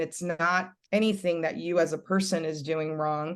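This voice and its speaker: This woman has a Californian accent and keeps her intonation fairly even. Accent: Californian American English. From Los Angeles, Puerto Rican family. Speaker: reality TV personality and business owner. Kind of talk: interview conversation. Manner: loud.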